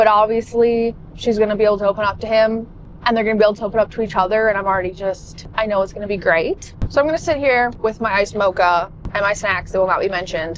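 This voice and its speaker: Noticeable background noise sits behind the recording. A woman with a fairly high pitch talks at a very fast pace. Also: ordinary pitch variation. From Canada. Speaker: book vlogger. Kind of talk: casual vlog chat. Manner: animated.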